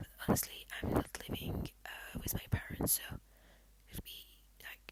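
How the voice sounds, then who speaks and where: The speaker whispers at a fairly slow pace. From Belgium and Poland. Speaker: ASMR creator. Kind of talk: casual Q&A, ASMR. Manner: soft-spoken; halting, many fillers. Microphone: laptop.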